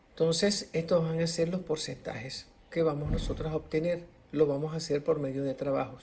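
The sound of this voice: The man's voice is fairly high-pitched, with a slightly mellow tone and fairly even intonation. He speaks at a moderate pace, and room echo is audible.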